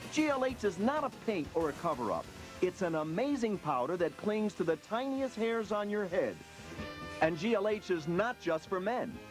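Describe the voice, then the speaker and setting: Music plays in the background while the words come at a moderate pace. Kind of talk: TV commercial read; parody infomercial.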